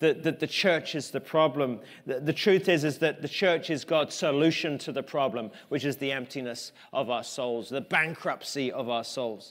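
Moderate pace from a man with an English accent, fairly high pitch and ordinary pitch variation. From England. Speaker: pastor. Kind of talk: sermon. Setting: church. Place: church.

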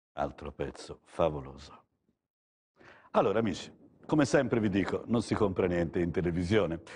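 Pausing long and often, a man with a very deep, low pitch talks at a moderate pace with lively intonation. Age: 60s. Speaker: TV art dealer host; TV art salesman. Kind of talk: live TV art sales show. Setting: TV studio gallery. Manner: soothing, soporific; halting, repetitive. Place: studio. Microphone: lapel.

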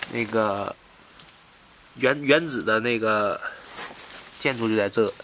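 Male speech at a middle pitch, noticeable noise in the background. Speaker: travel vlogger. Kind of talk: casual solo vlog narration. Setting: hostel room in Brussels.

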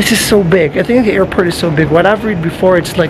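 Noticeable background noise sits under this recording. A man speaks at a high pitch with ordinary pitch variation. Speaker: travel vlogger. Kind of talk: casual vlog chat. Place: station. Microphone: phone near.

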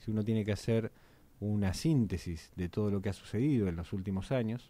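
Here a man speaks with a dark, mellow tone at a fairly low pitch and a moderate pace. His pitch varies in an ordinary way, and the sound is dry with no echo. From Argentina. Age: 30s. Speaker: municipal politician. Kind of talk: radio interview. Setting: radio studio. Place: studio. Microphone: studio mic.

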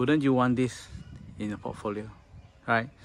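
Light background noise runs under a man whose voice sounds dry, with no echo. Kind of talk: property tour commentary. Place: garden. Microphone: phone near.

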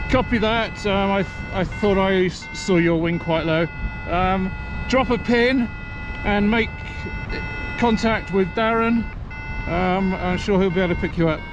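A man with a high pitch speaks at a very even loudness, leaving long, frequent pauses. The sound is dry with no echo, but background noise is noticeable. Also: fairly even intonation. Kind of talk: radio talk with teammates. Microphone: helmet.

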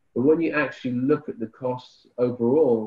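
A man with an ordinary speaking voice talks at a moderate pace and medium pitch, with ordinary pitch variation, against a quiet background. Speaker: sludge treatment expert and author; panelist. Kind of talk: technical panel Q&A answers. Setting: video call webinar. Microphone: headset.

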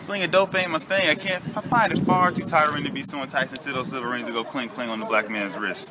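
Noticeable background noise sits behind a man. He talks at a very fast pace with very wide pitch swings. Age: young. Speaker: spoken word poet. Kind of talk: spoken word performance. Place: street. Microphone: camera far.

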